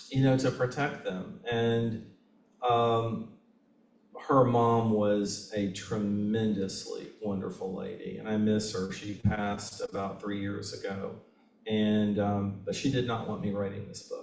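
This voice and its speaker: A man with a Southern US accent talks at a fairly slow pace, his fairly low voice held to fairly even intonation. Music plays in the background and the room echo is audible. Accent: Southern US, kept. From Kentucky, Lexington. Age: 60s. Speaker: author. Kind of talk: Q&A discussion at a book reading. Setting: bookstore event with audience.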